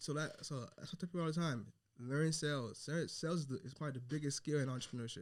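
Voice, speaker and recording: This man's voice sits fairly high in pitch, and he talks at a very fast pace. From Haitian family. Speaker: entrepreneur and mentor. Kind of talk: podcast interview. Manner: halting, many fillers.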